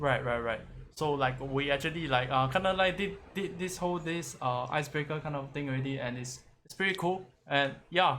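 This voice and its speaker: There is audible room echo as a man with a fairly high voice talks at a fairly quick pace with ordinary pitch variation. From Singapore. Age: 20s. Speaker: interviewer. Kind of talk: casual interview. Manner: halting.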